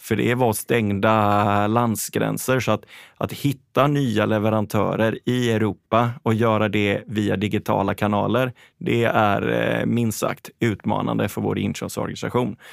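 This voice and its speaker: This is an unremarkable speaking voice at a fairly slow pace, with fairly even intonation and very even loudness. The recording is very clean, with a silent background. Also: man, fairly low pitch for a man. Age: 40s. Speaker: fashion company CEO. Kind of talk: interview.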